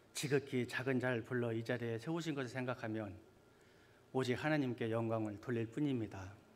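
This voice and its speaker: In a room with audible echo, a man talks at a moderate pace with medium pitch and fairly even intonation. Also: long, frequent pauses. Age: 50s. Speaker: church elder. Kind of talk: sermon. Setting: church.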